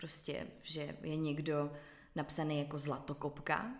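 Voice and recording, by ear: This woman's voice sits low in pitch. It carries vocal fry.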